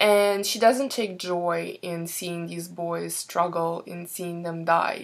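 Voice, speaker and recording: The delivery is very slow. A non-native accent is heard. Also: woman. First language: not English. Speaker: book reviewer. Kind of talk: casual book review. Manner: hesitant, many fillers.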